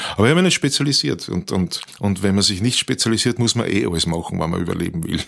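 Speaking at a very fast pace with hardly any pauses, a man uses a fairly low pitch and lively intonation. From Austria, Tulln (Lower Austria). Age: 60s. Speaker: professional musician and author. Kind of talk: interview. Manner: hesitant, with many repetitions.

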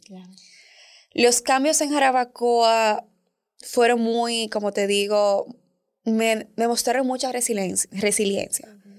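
A woman talks at a very slow pace, leaving long, frequent pauses, with fairly even intonation. The recording is very clean with a silent background. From Dominican Republic. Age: 20s. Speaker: communication educator and founder. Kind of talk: interview, personal story.

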